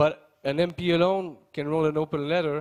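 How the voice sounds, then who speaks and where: With a Quebec accent, a man speaks at a fairly slow pace using fairly even intonation. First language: French. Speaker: member of parliament. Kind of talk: conference speech. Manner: halting, many fillers and repeats.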